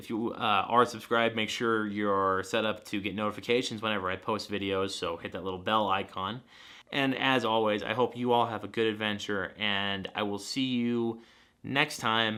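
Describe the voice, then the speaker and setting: Fairly even intonation from a man at a moderate pace, fairly low in pitch. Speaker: photography vlogger. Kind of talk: gear review vlog. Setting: indoors on the couch. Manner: loud.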